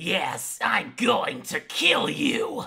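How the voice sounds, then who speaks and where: This is a put-on character voice at a fairly high pitch. It sounds raspy and growling. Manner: menacing, trying hard to sound menacing.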